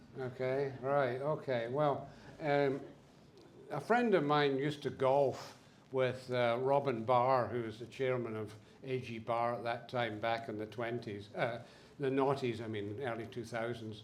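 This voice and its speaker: In a Scottish accent, a man speaks at a medium pitch and fairly slow pace. His intonation is fairly even, with audible room echo. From Scotland. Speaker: business owner, speaker. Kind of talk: symposium talk. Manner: halting, many fillers.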